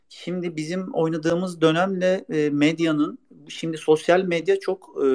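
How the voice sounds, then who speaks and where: A man's voice at a fairly high pitch. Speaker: former footballer and youth coach. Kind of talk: interview. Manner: hesitant with many fillers.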